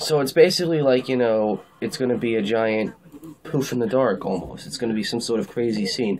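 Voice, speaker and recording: Over noticeable background noise, a man talks at a fairly quick pace with a medium pitch and ordinary pitch variation. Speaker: TV show reviewer. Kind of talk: casual video review. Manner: fast; casual, hesitant with fillers.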